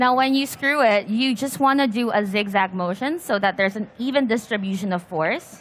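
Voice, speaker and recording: Her intonation lively, a woman talks at a moderate pace. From Philippines. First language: Filipino. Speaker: PC building workshop host. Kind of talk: live hands-on tutorial.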